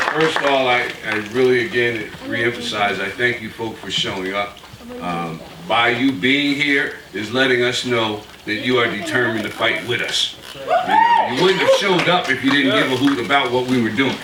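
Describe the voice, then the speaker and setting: At a moderate pace, a man with an American accent talks at a medium pitch with ordinary pitch variation, over noticeable background noise and audible room echo. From Virginia. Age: 60s. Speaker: community activist. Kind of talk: rally speech.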